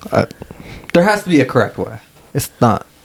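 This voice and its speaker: A man talks while noticeable noise carries on in the background. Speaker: podcast co-host. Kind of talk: casual chat.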